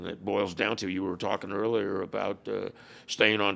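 A man talks at a moderate pace with an American accent. There is vocal fry in his voice, and his pitch varies in an ordinary way. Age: 70s. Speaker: former motorcycle club president and author. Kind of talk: casual interview chat.

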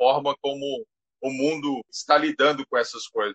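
A man is speaking. His pace is fairly slow. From Brazil, Goiás. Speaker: technology teacher. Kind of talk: live interview. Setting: Instagram live.

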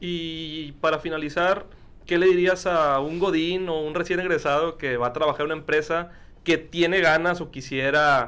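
A man's bright, sharp voice at a fairly high pitch, with fairly even intonation. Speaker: podcast host. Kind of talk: casual interview chat.

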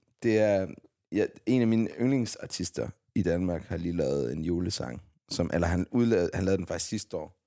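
Using vocal fry and lively intonation, a man speaks at a moderate pace with a very deep, low pitch. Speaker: podcast host. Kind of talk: casual chat.

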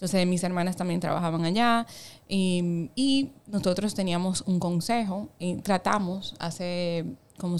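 A woman with a plain, everyday voice speaks at a fairly low pitch and moderate pace, using ordinary pitch variation. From Dominican Republic, Samaná. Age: 20s. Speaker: insurance startup executive. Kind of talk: interview conversation.

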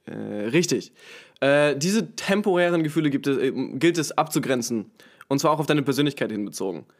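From a very clean recording with a silent background comes a man's fairly high-pitched voice, lively in intonation, at a fairly quick pace broken by long, frequent pauses. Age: 20s. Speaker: podcast guest. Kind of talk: casual chat. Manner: halting, many filler sounds.

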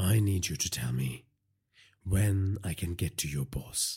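On a very clean recording with a silent background, a man does a put-on character voice at a low pitch, with a husky, rough edge, a slightly mellow tone, lively intonation, and a fairly slow pace.

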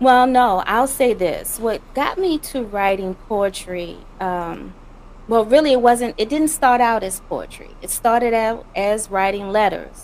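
A woman with a Louisiana accent talks with ordinary pitch variation. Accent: Louisiana Southern US. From Louisiana, US South. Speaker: poet and spoken word artist. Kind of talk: interview answering questions.

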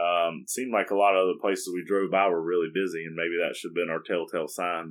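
Fairly even intonation marks this man's speech in an American accent. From South Carolina. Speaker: podcast host. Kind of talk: casual chat.

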